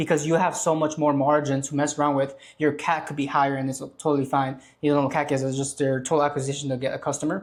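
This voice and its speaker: A man with a fairly high pitch speaks at a very fast pace in a monotone, flat manner. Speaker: online business creator. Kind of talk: tutorial. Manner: casual.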